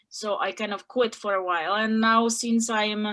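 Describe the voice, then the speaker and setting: In a monotone, flat delivery at a moderate pace, a woman of medium pitch speaks with a non-native accent on a very clean recording with a silent background. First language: not English. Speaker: group member in online personal growth group. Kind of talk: group sharing circle. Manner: halting, many fillers.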